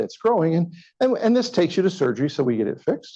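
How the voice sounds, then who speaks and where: A man with a Kentucky accent talks very fast in a dark, mellow tone, his pitch swinging very widely. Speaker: physician. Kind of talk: lecture. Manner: animated.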